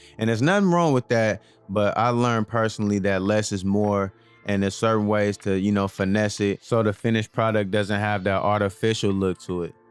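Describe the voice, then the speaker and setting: Music plays in the background as a man with a fairly low pitch talks at a fairly quick pace and very even loudness. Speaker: barber. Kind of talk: tutorial. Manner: fast; animated.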